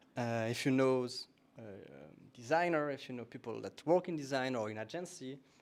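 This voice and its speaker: A man with a French accent talks at a fairly quick pace. His medium-pitched voice has lively intonation. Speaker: meetup host. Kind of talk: event announcements. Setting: stage with audience, streamed.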